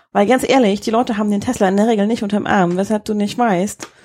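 A woman with a fairly high pitch, a dark, mellow tone, ordinary pitch variation and a fairly quick pace. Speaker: podcast co-host. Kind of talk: casual chat. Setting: holiday rental in Husum. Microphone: too far from the mic, quiet.

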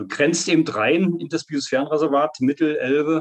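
A man speaks with a Saxony-Anhalt accent. He keeps to a moderate pace. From Saxony-Anhalt, eastern Germany. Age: 50s. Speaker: nature photographer. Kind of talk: interview.

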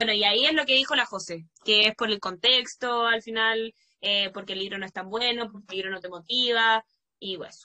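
A woman with a Chilean accent speaks at a fairly quick pace, fairly high in pitch with a bright, sharp tone. Her loudness swings widely, while her pitch varies in an ordinary way. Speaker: podcast host and primary school teacher. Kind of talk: casual chat.

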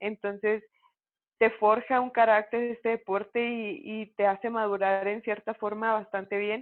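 A woman's fairly high voice at a moderate pace, in monotone, flat intonation. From Mexico, Chihuahua (Cuauhtémoc). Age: 20s. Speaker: professional boxer. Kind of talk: interview.

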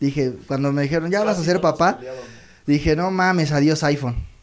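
With noticeable background noise behind him, a man of fairly high pitch speaks at a moderate pace with ordinary pitch variation. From Mexico, Toluca. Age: 30s. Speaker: comedian. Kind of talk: stand-up. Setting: stage with audience.

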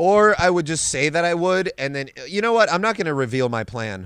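A man speaks in a high pitch with lively intonation at a moderate pace. The recording is very clean with a silent background. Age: 20s. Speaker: MMA fighter and comedian. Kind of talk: casual chat.

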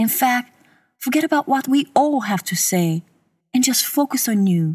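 A woman's somewhat breathy voice has a soothing, gentle tone and very wide pitch swings. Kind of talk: guided meditation. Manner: slow, soothing and gentle, with calm, even pacing and long pauses.

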